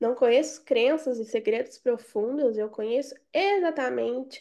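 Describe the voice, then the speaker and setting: Dark, mellow female speech in a quiet background. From Brazil, Belo Horizonte. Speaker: sales and marketing mentor. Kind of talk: online group coaching session. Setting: live video call.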